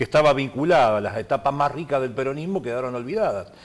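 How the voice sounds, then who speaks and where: A man with lively intonation talks at a very fast pace. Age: 60s. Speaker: politician. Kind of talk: TV interview.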